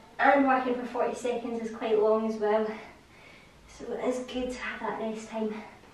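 With audible room echo, a woman speaks in a flat monotone at a fairly high pitch and a moderate pace, her loudness swinging widely. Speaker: fitness instructor. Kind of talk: guided follow-along workout coaching. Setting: home or studio video. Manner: casual, conversational, repeating cues. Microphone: camera far.

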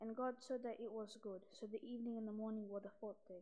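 A woman at a moderate pace, with fairly even intonation. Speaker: scripture reader. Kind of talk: liturgical scripture reading. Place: church. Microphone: podium.

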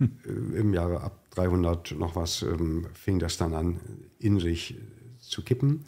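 A man with a very deep, low pitch and a dark, mellow tone talks very slowly and somewhat breathily, his lively intonation broken by long, frequent pauses, in a very clean recording with a silent background. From East Germany. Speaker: executive of a social-welfare organisation. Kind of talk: conversational podcast. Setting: studio.

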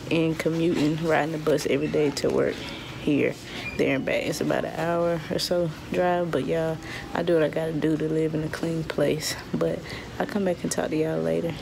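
The speech moves at a fairly quick pace. Background noise is noticeable throughout. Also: woman. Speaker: soldier vlogger. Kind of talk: casual vlog chat. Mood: relieved, grateful. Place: hall. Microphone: phone near.

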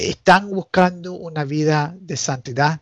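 A man with an English accent at a very slow pace. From United States, Nicaraguan family. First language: English (speaking Spanish). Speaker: canon lawyer. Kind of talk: casual chat. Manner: halting.

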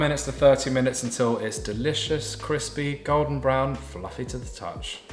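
A man speaks at a fairly quick pace. There is light background noise and audible room echo. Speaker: home cook host. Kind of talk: cooking tutorial. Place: kitchen.

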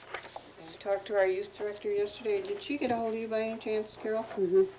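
A soft-spoken woman talks at a very fast pace with fairly even intonation over light background noise. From upstate New York. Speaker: town supervisor chairing meeting. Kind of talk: town board meeting. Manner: soft-spoken, hard to hear. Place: meeting room. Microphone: camera far.

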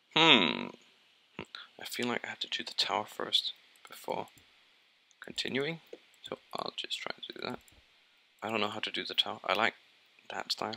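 A man with a Danish accent at a moderate pace, with big swings in loudness and long, frequent pauses. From Denmark. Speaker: gaming YouTuber. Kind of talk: let's play commentary.

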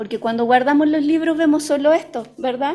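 High-pitched woman's voice, its pitch varying in an ordinary way. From Chile. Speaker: early childhood educator and doula; early childhood educator. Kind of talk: book presentation talk. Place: hall. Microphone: podium.

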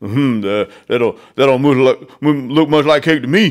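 Putting on a gruff character voice, a man speaks very slowly at a fairly high pitch with ordinary pitch variation. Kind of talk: storybook read-aloud.

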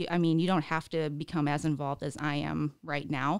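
A woman talks with vocal fry in a dry sound with no echo against a quiet background. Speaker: podcast guest. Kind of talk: interview answer. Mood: friendly, relaxed storytelling. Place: studio. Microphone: studio mic.

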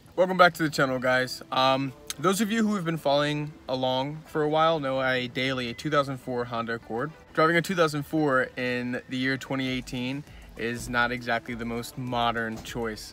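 Faint music plays in the background as a man speaks at a moderate pace with ordinary pitch variation, the sound dry with no echo. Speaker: car mod vlogger. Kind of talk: casual vlog chat. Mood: upbeat, friendly. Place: car. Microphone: phone near.

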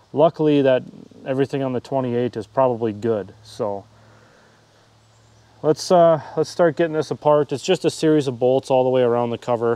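With ordinary pitch variation, a man speaks at a moderate pace, pausing long and often. The sound is dry with no echo. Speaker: hobby tractor restorer. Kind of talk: tutorial. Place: garden. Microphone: phone near.

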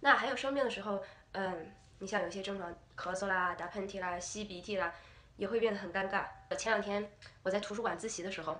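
In an animated, playful and bright, sharp tone, a woman of medium pitch talks at a very fast pace with ordinary pitch variation. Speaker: vlogger, university student. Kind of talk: casual vlog monologue. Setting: video recording to camera.

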